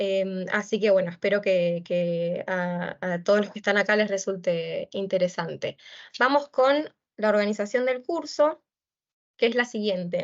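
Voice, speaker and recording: In an Argentine accent, a woman talks at a fairly slow pace. Her voice sits at a medium pitch with ordinary variation. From Argentina. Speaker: lecturer, doctoral researcher. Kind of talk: lecture. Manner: hesitant, many fillers.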